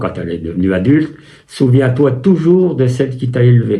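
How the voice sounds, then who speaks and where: Audible room echo surrounds the voice. The man's pitch is medium. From France, Loiret (Chessy near Orléans). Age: 80s+. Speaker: war veteran. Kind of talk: interview testimony. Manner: halting, with many hesitations.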